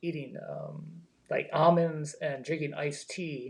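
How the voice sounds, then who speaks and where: This man's voice sits fairly high and is somewhat breathy, delivered in a monotone with flat intonation. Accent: American. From Baltimore, Maryland. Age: 60s. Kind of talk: interview answer. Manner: casual, hesitant.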